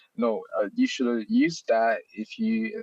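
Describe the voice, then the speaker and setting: A man talks with a non-native accent. The sound is dry and close, with no echo. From China. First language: Chinese. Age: 30s. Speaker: software developer, library author. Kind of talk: live Q&A in online hangout. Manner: halting with fillers.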